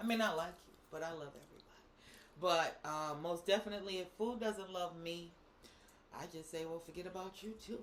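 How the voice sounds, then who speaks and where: A woman with an American accent speaks in an animated tone at a fairly quick pace. Her pitch is fairly low, and her loudness swings widely. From Boston. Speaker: co-host. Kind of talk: casual chat.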